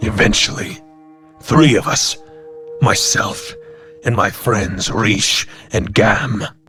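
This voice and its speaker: Faint music plays behind a man doing a put-on character voice at a medium pitch and a fairly slow pace. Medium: audio drama. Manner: measured, solemn.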